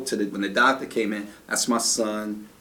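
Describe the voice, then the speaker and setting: There is audible echo from the room. The voice belongs to a man. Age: 50s. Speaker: martial arts instructor and activist. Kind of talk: interview about his life.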